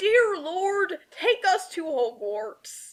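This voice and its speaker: Put-on character voice, pitched extremely high. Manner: booming, dramatic.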